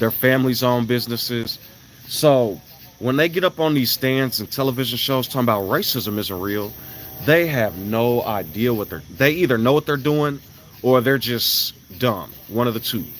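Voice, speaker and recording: A man's medium-pitched voice with ordinary pitch variation and a moderate pace, over noticeable background noise. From Chicago, US Midwest. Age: 30s. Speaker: live streamer. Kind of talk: casual livestream chat.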